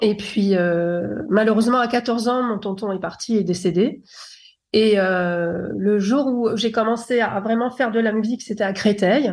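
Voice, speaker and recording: A woman speaks at a fairly slow pace with fairly high pitch and ordinary pitch variation, in a plain, everyday voice. The recording is very clean, its background silent. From France, Paris. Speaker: former R&B singer turned producer. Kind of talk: interview.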